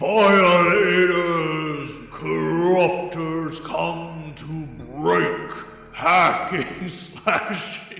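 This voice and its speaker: A man puts on a high-pitched character voice and speaks at a very slow pace, with clear echo around him. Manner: snarling.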